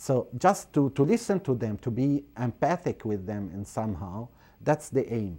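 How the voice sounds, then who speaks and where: A man with an Arabic accent, a dark, mellow tone, very wide pitch swings and a moderate pace. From Syria, Aleppo; Syria. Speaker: priest and refugee aid director. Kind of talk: interview. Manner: halting. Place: studio. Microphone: lapel.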